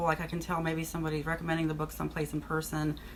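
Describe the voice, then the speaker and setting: Her pace is very fast. This woman has a fairly low voice. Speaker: author and former accountant. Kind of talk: casual vlog monologue. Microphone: poor microphone.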